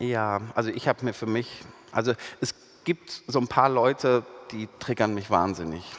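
A man talks at a moderate pace. Behind him the background is quiet. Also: ordinary pitch variation. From Ruhr area, Germany; Germany. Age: 40s. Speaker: sociologist; guest. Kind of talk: public panel conversation. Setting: stage with audience. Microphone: headset.

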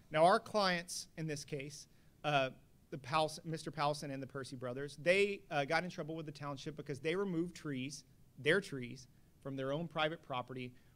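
Here is an ordinary speaking voice with an American accent. The pace is moderate and the pitch variation ordinary. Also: man, fairly high pitch for a man. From Texas, Houston. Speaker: attorney. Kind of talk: panel discussion. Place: hall. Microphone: podium.

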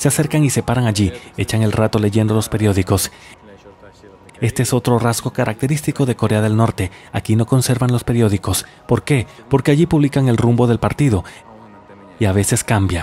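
A man speaks at a fairly quick pace but leaves long, frequent pauses, his medium-pitched voice dark, mellow and somewhat breathy, with ordinary pitch variation. The sound is dry and close with no echo, and his loudness stays very even. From Russia, Samara. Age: 30s. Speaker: travel vlogger. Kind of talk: documentary narration.

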